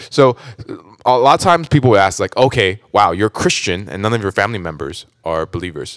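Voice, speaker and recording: A man with an American accent speaks fairly quickly in a fairly low voice, his pitch swinging very widely. The sound is dry and close, with no echo. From US West Coast, Orange County, California. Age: 30s. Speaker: church member sharing testimony. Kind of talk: testimony. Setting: studio.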